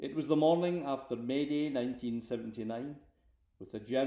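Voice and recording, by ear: The passage is read aloud in a natural voice.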